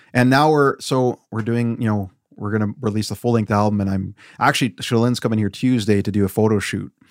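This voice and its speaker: Recorded very cleanly against a silent background, with a dry, close sound and no echo, a man speaks at a fairly quick pace in a Canadian Prairies accent with fairly even intonation. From Weyburn, Saskatchewan, Canada. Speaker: sound engineer and musician. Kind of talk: casual chat. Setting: home basement recording studio.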